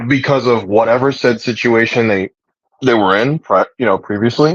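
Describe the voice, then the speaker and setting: A man with a plain, everyday voice, medium pitch, ordinary pitch variation and a moderate pace. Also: dry, close sound with no echo. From United States, Puerto Rican family. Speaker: livestream host and religious practitioner. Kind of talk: casual chat. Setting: livestream.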